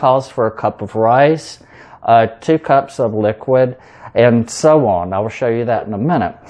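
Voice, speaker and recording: Speaking in a Southern US accent with a dark, mellow tone, a man goes at a fairly slow pace with ordinary pitch variation. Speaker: home cook, cooking video host. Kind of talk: cooking tutorial. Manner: casual, with fillers.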